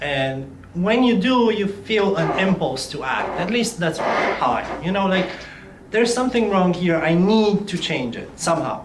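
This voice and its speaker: A man with a slight Romanian accent talks at a fairly slow pace in a high pitch with lively intonation, over noticeable background noise and audible room echo. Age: 20s. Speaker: youth leader, non-profit ambassador. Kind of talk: interview.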